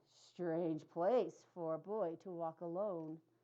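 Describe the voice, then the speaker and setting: Putting on a character voice, a woman speaks fairly slowly in a fairly low pitch. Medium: read story. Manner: courteous, coaxing.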